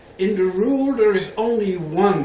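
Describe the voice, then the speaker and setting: Lively intonation from a man, with audible room echo and noticeable background noise. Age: 70s. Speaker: professor. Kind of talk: lecture.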